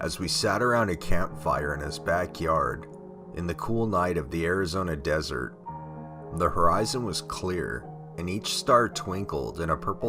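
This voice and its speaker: Over background music, a man speaks with very wide pitch swings. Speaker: horror story narrator. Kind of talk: horror story narration.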